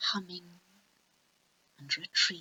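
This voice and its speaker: A woman's whisper. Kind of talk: ASMR poetry reading. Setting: home recording, basic microphone. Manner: softly spoken.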